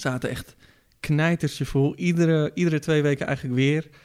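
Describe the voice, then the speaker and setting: A man speaks slowly-ish at a fairly slow pace with fairly high pitch, in a very clean recording with a silent background. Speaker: podcast host. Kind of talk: casual chat. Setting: studio. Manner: animated.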